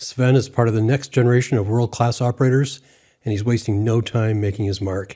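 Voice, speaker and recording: On a very clean recording with a silent background, a man speaks at a fairly quick pace with medium pitch. His tone is dark and mellow, somewhat breathy, with fairly even intonation. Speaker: podcast host, ham radio interviewer. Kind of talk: podcast introduction.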